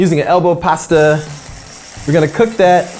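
A man talks at a fairly quick pace while faint music sits in the background. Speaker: cooking show host. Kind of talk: tutorial. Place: kitchen. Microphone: lapel.

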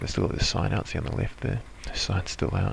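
Light noise sits in the background while a man talks. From New Zealand. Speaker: motorcycle vlogger. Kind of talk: motovlog voice-over. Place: home room.

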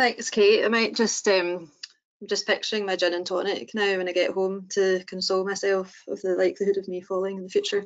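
A woman talks at a fairly quick pace in a monotone, flat delivery. The background is quiet. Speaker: prosthetist. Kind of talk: webinar presentation. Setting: online webinar. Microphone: video call.

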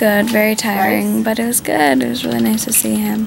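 A woman speaks over noticeable background noise. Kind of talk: casual vlog chat. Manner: weary, low-energy patient voice. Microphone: phone near.

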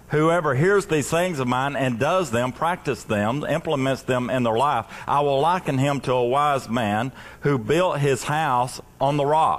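Pitch moves up and down in an ordinary way. The speaking pace runs fairly slow. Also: man. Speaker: pastor. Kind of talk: sermon. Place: stage.

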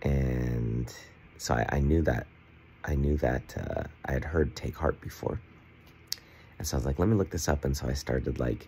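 Very deep and low, a man's voice moves at a moderate pace with ordinary pitch variation. Long, frequent pauses break it up over light background noise. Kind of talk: casual vlog chat. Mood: earnest, excited about faith. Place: home room. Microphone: phone near.

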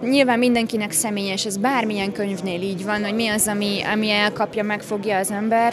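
Fairly quick delivery with fairly even intonation, hardly any pauses, and noticeable background noise. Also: woman. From Hungary. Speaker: art institute director; guest. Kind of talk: interview; interview answer. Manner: halting with many fillers.

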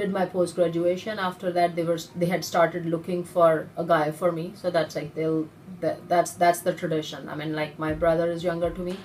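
Light background noise sits under the speech. The delivery is monotone and flat at a fairly quick pace. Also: woman, fairly low pitch for a woman. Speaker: interviewee. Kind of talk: interview answer. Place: office. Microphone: phone near.

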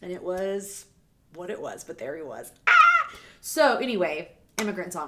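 With an American accent, a woman talks at a moderate pace, her loudness swinging widely against noticeable background noise. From US South, Savannah, Georgia. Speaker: music reaction YouTuber, former radio host. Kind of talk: casual vlog monologue. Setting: home video recording. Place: home room. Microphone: studio mic.

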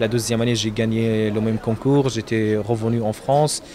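Dark, mellow tone at a moderate pace, little pitch movement, faint background noise. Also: man.

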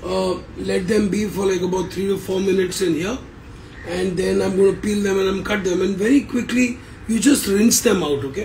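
A high-pitched man at a fairly quick pace, with ordinary pitch variation over light background noise. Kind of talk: cooking tutorial. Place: kitchen. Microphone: phone near.

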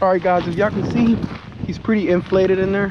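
A man speaks at a high pitch and fairly quick pace. Faint background noise can be heard. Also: fairly even intonation.

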